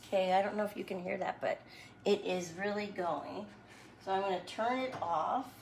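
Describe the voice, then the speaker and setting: Over noticeable background noise, a woman speaks at a moderate pace in a medium pitch with ordinary pitch variation and long, frequent pauses. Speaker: home cooking video host. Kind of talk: cooking tutorial. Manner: casual, chatty.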